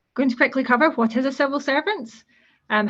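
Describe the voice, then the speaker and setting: A woman's voice with a Scottish accent. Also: quiet background. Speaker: civil servant, guest speaker. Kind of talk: presentation to students.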